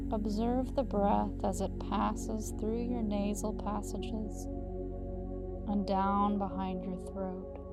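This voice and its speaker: Over background music, a woman speaks at a very slow pace with hardly any pauses. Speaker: yoga teacher. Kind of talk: guided meditation. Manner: calm, slow, soft-spoken.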